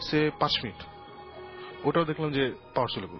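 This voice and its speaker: A man speaks with music in the background. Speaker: paranormal investigator. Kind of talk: interview answer, storytelling. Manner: casual, mixes English into Bengali.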